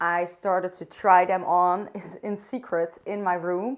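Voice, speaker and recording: A woman speaks at a fairly low pitch in a Dutch accent. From Netherlands. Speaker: vlogger. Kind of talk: casual talk to camera. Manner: unscripted, occasionally searching for words.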